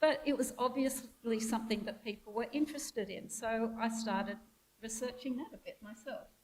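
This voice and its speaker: A woman speaks with an Australian accent. Her loudness swings widely. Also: fairly high pitch for a woman, fairly even intonation, moderate pace. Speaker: theologian and former lecturer. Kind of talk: interview then talk.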